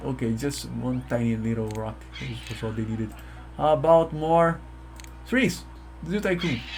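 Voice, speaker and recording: A man at a moderate pace with long, frequent pauses, in audible room echo. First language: Portuguese. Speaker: gaming YouTuber. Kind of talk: let's play commentary. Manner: halting, self-correcting.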